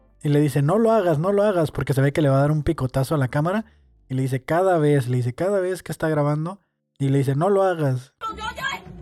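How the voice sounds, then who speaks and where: A man speaks very fast in a fairly high pitch, with ordinary pitch variation. The sound is dry and close, with no echo. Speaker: podcast host and stand-up comedian. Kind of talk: casual solo monologue. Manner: hesitant, many fillers.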